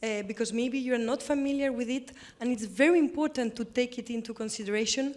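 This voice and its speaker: A woman with a Spanish accent. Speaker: government representative. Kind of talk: panel discussion. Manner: halting.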